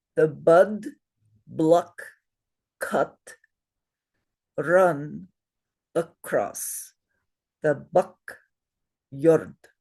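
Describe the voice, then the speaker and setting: A raspy, put-on character voice at a middle pitch goes very slowly, with long, frequent pauses. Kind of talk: language demonstration.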